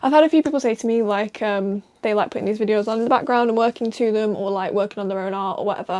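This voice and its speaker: A soft-spoken woman, fairly high in pitch, with ordinary pitch variation. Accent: northern English. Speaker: comic artist. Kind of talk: casual talk while drawing.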